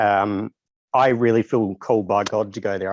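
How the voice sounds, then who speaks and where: A man with an Australian accent speaks at a fairly low pitch and moderate pace, the sound dry and close with no echo. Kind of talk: casual interview.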